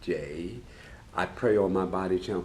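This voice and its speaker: A man speaks with a very deep, low pitch and vocal fry at a fairly slow pace. Audible room echo surrounds his voice. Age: 70s. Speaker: master tailor and sewing show co-host. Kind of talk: casual chat.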